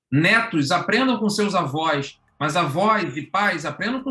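The man's pace is moderate. His voice rises and falls in a lively way. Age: 40s. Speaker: professor and education speaker. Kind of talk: podcast panel conversation.

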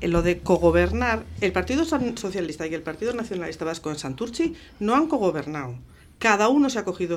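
Vocal fry colors this woman's voice as her pitch swings very widely. She moves at a fairly quick pace. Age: 60s. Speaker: municipal election candidate, teacher. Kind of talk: radio election debate.

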